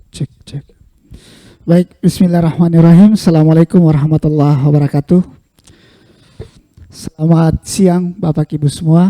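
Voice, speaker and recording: A man's high, dark, mellow voice at a moderate pace, fairly even in intonation, with long, frequent pauses and a dry, close sound with no echo. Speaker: keynote speaker, researcher. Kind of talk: lecture.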